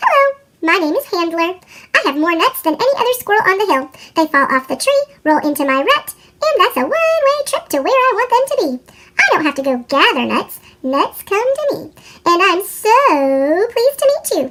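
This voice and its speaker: A woman uses a put-on character voice at an extremely high pitch for a woman, with very wide pitch swings and a moderate pace. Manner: talking really fast.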